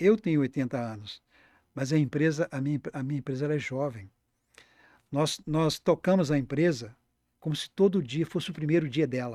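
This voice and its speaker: A dark, mellow tone comes through at a moderate pace with ordinary pitch variation and long, frequent pauses, on a very clean recording with a silent background and a dry, close sound with no echo. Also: man, fairly high pitch for a man. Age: 70s. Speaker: accountant and business founder. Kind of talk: podcast interview. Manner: halting, with frequent repetitions.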